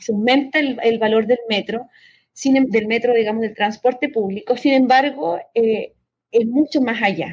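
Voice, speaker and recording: A woman with an unremarkable speaking voice talks at a fairly slow pace, her pitch fairly high with ordinary pitch variation. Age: young. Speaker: political scientist. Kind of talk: interview.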